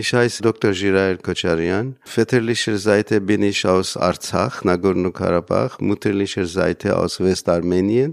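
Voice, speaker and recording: A man talks fairly slowly in a fairly low voice, with hardly any pauses and ordinary pitch variation. The sound is dry and close with no echo, and the background is quiet. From Iran, Armenian community near Isfahan. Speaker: lecturer in Armenian. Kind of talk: interview statement. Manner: halting.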